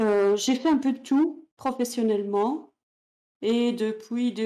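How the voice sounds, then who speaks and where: In a dark, mellow tone, a woman talks very slowly. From Belgium, Ghent (Flemish region), French-speaking family. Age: 50s. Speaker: author and conference interpreter. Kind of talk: interview. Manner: hesitant, many fillers.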